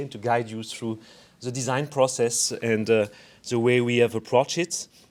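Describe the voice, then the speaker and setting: In a French accent, a man speaks at a moderate pace with a medium pitch and monotone, flat intonation. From France. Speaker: architect and urban designer. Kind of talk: design presentation to community. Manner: halting, many fillers.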